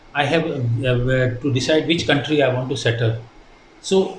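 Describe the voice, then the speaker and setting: A man talks at a moderate pace with a fairly high pitch and a somewhat breathy sound. Audible room echo surrounds his voice. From India, Punjabi-speaking. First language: Hindi and Punjabi. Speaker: retired ship captain, shipping company director. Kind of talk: interview. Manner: hesitant, many fillers.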